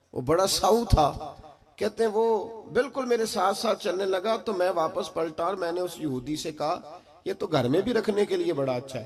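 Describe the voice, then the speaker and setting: The speaker's intonation is lively, with noticeable background noise in the clip. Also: man, high pitch for a man. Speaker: Islamic preacher giving a religious sermon. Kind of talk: religious sermon (bayan) delivered to a live gathering. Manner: emotional, preaching.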